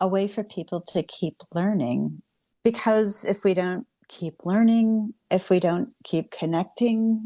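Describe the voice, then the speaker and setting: A woman with an American accent at a very slow pace, medium pitch and dark, mellow tone, in a dry, close sound with no echo. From Cincinnati, Ohio, US. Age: 60s. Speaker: writer and activist. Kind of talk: interview conversation.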